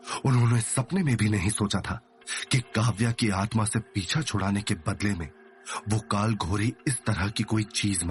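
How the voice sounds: Fairly even intonation in a natural reading voice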